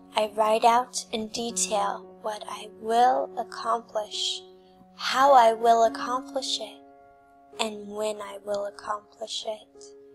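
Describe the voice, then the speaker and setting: Over faint background music, a woman with a fairly high pitch talks at a very slow pace in a calm, soothing tone, her intonation lively and her loudness swinging widely. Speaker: hypnotist. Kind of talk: hypnosis script for sleep and abundance. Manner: calm, slow, soothing. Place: home room.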